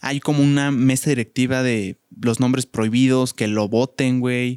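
Speaking at a very slow pace with a Mexican accent, a man keeps his medium-pitched voice fairly even, the sound dry and close with no echo. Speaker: podcast co-host. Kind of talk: casual chat.

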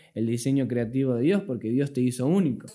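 A dark, mellow tone with fairly even intonation comes through in a very clean recording with a silent background. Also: man. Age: 20s. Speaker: podcast host, young church member. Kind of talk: casual religious discussion.

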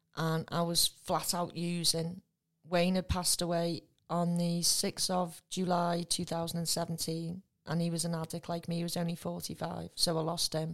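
A woman with a northern English accent speaks at a fairly low pitch and a moderate pace. Her intonation is monotone and flat, and the recording is very clean with a silent background. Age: 50s. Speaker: recovering addict. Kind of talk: testimony.

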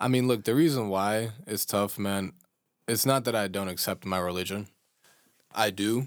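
On a very clean recording with a silent background, a man with a Chicago accent speaks in a fairly low pitch with ordinary pitch variation and long, frequent pauses. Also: moderate pace. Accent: American, Chicago. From US Midwest, Chicago. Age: 20s. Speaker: podcast co-host. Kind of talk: casual chat. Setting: studio.

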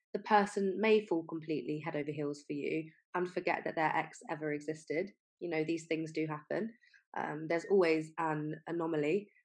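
A woman's plain, everyday voice, fairly low in pitch, with ordinary pitch variation at a moderate pace. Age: 20s. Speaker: podcast host, health coach and nutritionist. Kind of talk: solo podcast monologue.

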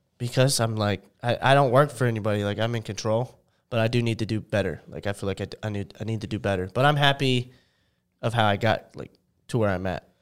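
A man talks at a very fast pace with ordinary pitch variation and a medium pitch, in a very clean recording with a silent background. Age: 20s. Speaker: content creator. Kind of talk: casual chat.

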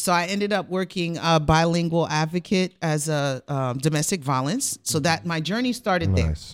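In a very clean recording with a silent background, a woman with a fairly low pitch and a New York accent talks at a moderate pace with hardly any pauses. Her intonation is lively and her loudness swings widely. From Rockland County, New York, Haitian family. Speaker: life coach. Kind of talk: personal testimony in talk show interview.

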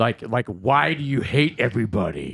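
A man's put-on character voice, medium in pitch, at a moderate pace, with very wide pitch swings. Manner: menacing.

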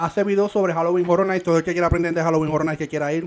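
A man is speaking. His pitch sits fairly high. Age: 20s. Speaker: podcast co-host. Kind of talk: casual chat. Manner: animated.

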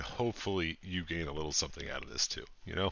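A man with a very deep, low voice talks at a very fast pace with ordinary pitch variation. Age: 30s. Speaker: podcast co-host. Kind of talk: casual chat.

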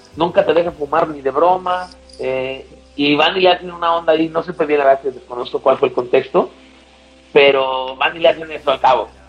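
With music playing behind him, a man with a high voice speaks at a moderate pace using fairly even intonation. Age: 40s. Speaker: nightlife promoter. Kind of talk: casual chat. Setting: video call.

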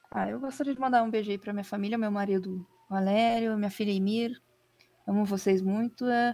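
Fairly quick delivery from a woman, medium-pitched, her intonation fairly even. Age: 20s. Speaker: editor-in-chief. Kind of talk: casual interview chat. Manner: halting.

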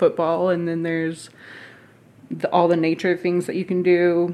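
In a Southern US accent, a woman speaks at a fairly low pitch and a fairly slow pace with monotone, flat intonation. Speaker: podcast guest. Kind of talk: casual chat.

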